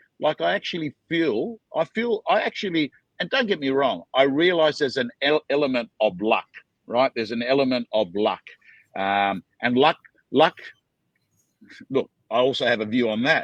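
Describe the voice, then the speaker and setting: In an Australian accent, a man with a fairly high pitch speaks at a moderate pace with very wide pitch swings, the sound dry and close with no echo against a quiet background. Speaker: auctioneer. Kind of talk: interview answer.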